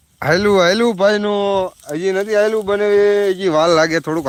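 This is a man's voice. The pitch moves in an ordinary way. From Gujarat, Surendranagar district (Dhrangadhra area village). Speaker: village vlogger and farmer. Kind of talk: live stream chat with viewers. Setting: outdoors at the farm.

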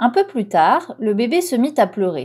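At a fairly slow pace, a woman speaks in a gentle, soothing tone with a high pitch and very wide pitch swings. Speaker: audiobook reader. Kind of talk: bedtime story read aloud. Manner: gentle, soothing storyteller pace; animated, with distinct character voices for mama, papa and cat.

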